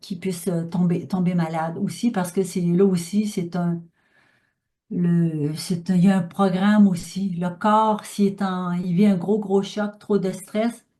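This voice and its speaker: Her voice is somewhat breathy, dark and mellow, and medium in pitch, with monotone, flat intonation. The woman talks at a very slow pace over a quiet background. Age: 60s. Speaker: speaker on pranic living. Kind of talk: talk with audience questions. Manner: halting, many fillers.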